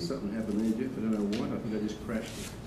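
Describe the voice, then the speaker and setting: With an Australian accent, a man talks over noticeable background noise in a room with audible echo. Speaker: radiologist. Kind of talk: lecture. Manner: animated.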